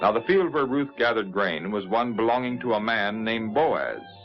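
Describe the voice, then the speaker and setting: A man speaks at a medium pitch and a moderate pace, with lively intonation. Music plays in the background. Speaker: narrator. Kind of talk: 1950s religious TV narration of a Bible story.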